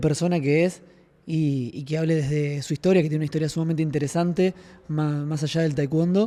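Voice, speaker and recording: A man talks with a fairly high pitch. His tone is dark and mellow. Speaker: podcast host and martial arts student. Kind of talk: casual podcast chat. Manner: soft-spoken.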